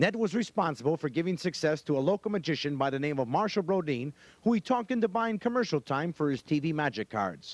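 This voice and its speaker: Over music in the background, a man talks very fast at a fairly high pitch with very wide pitch swings and hardly any pauses. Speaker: TV host. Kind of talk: TV tribute narration.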